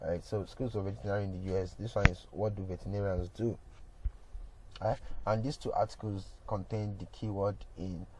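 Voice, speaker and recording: A man talks at a fairly quick pace with a fairly low pitch. His dark, mellow tone is somewhat breathy. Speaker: digital marketing instructor. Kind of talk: tutorial. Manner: casual, halting with fillers.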